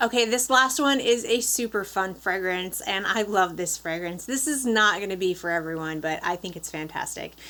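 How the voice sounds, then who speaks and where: A woman with a slight Upper Peninsula Michigan accent, bright and sharp in tone, at medium pitch and a moderate pace, with ordinary pitch variation, on a very clean recording with a silent background. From Upper Peninsula of Michigan. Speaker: beauty vlogger. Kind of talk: product review. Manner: casual.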